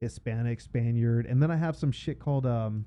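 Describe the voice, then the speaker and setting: A man with a Southern California accent speaks at a medium pitch and a fairly quick pace. His pitch variation is ordinary. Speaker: death metal guitarist. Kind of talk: casual chat.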